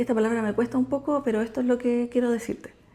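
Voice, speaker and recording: Against noticeable background noise, a woman with a Chilean accent talks at a very fast pace in a fairly high pitch. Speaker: nurse and vlogger. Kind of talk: casual vlog talk. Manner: casual, conversational.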